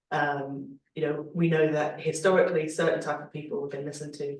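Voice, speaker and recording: The speech moves at a moderate pace. It carries a slight Scouse accent. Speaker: Labour Party politician. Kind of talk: panel discussion.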